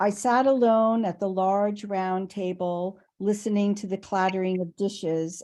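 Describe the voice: A fairly evenly intoned passage, plainly read aloud.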